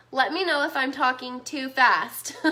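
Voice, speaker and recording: There is noticeable background noise. A woman speaks at a high pitch. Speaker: business marketing coach. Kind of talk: live stream webinar. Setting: live stream. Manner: animated.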